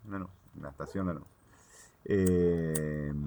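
A man speaks at a moderate pace with a Rioplatense accent. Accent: Argentine Rioplatense Spanish. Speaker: cannabis grower. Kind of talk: casual chat.

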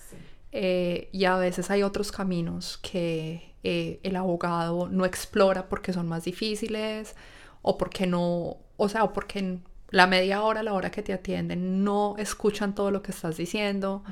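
In an Antioquian accent, a woman speaks at medium pitch with monotone, flat intonation. The recording is very clean, with a silent background. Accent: Colombian paisa Spanish. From Colombia, Medellín (paisa). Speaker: engineer. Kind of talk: casual interview. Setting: in person, recording together.

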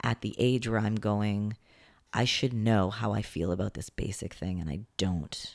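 Heard in a very clean recording with a silent background, a man uses an ordinary speaking voice. His pitch is fairly low, his intonation fairly even and his pace fairly slow. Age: 30s. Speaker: actor and comedian. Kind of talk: casual interview chat.

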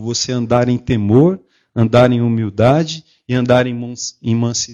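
In a dry, close sound with no echo and a quiet background, a man talks at a medium pitch in a calm, gentle tone. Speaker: lay preacher. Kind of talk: sermon. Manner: calm, gentle delivery.

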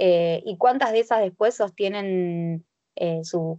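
Using a normal speaking voice, a woman talks at medium pitch with fairly even intonation. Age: 20s. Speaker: sports club board member. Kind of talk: casual chat. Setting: video call.

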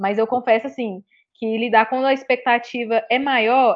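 Speaking at a moderate pace, a woman uses a high pitch that varies in an ordinary way. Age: 20s. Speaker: tarot reader. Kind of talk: casual chat.

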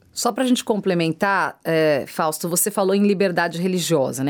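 A woman with an unremarkable speaking voice and a fairly low pitch talks at a fairly quick pace in a dry, close sound with no echo. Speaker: radio host. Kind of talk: interview.

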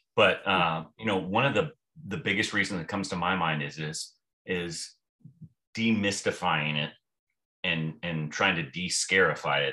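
Speaking with an American accent, a man with a very deep, low pitch and a bright, sharp tone keeps a moderate pace, ordinary pitch variation and long, frequent pauses. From US military families, various bases. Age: 50s. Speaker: retired navy officer and theology student. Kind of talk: casual interview. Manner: halting, many repeated words.

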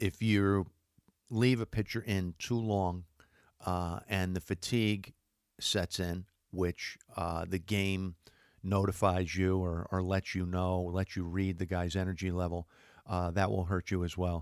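Very deep and low in pitch, a man speaks in a monotone, flat intonation at a fairly slow pace, with a dry, close sound, no echo, and a very clean recording over a silent background. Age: 50s. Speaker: sports radio podcast host. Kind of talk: casual sports talk monologue. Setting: studio. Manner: casual with frequent filler words.

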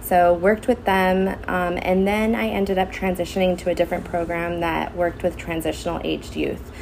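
Over noticeable background noise, a woman with an American accent talks fairly quickly in a fairly low voice, hardly pausing. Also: ordinary pitch variation. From Southern California, Santa Clarita Valley. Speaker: school social worker. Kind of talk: casual interview. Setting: school wellness center.

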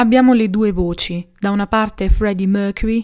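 Recorded very cleanly against a silent background, a woman speaks at a moderate pace in a dark, mellow tone. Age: 20s. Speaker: podcast host. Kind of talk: music analysis podcast monologue.

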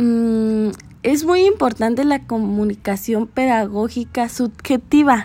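This woman's voice sits fairly high, with a dark, mellow tone. She speaks very slowly, with ordinary pitch variation. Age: 20s. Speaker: pedagogy student. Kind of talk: student presentation. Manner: halting.

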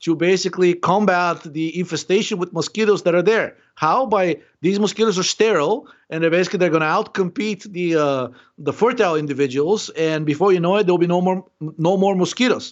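Talking at a fairly quick pace, a man uses a high pitch with ordinary pitch variation. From Bulgaria. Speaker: biochemistry and health researcher. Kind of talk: interview. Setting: live stream call.

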